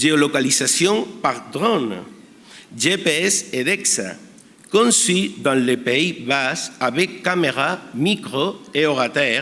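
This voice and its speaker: With a Spanish accent, a man speaks very slowly at a fairly high pitch, his voice making very wide pitch swings while its loudness stays very even over noticeable background noise. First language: Spanish (speaking French). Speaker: emergency physician. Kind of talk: conference talk. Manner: halting.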